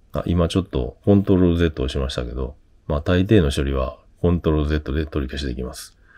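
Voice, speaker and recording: At a very fast pace, a man talks in a very deep, low voice with a dark, mellow tone. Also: ordinary pitch variation, very clean recording, silent background. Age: 50s. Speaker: tech YouTuber. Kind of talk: tutorial. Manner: casual, hesitant with fillers.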